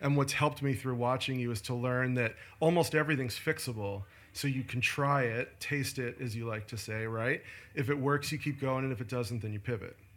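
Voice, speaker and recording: In a very clean recording with a silent background, an unremarkable speaking voice talks at a fairly quick pace. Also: man, medium pitch for a man, fairly even intonation. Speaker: podcast host. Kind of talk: casual interview. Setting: in person in an office.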